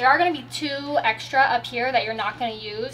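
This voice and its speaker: Over light background noise, a woman speaks at a very fast pace. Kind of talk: tutorial. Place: car.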